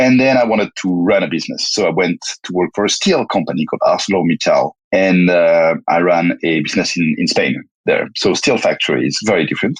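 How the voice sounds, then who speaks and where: Recorded with a dry, close sound and no echo, a man with a French accent talks at a fairly quick pace. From France. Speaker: tech company founder and CEO. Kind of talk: interview. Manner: halting, many repetitions and fillers.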